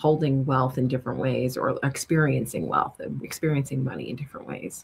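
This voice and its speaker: This voice has vocal fry and fairly even intonation. It carries a slight New York accent. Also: woman. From New York City. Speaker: money strategist. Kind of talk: interview conversation.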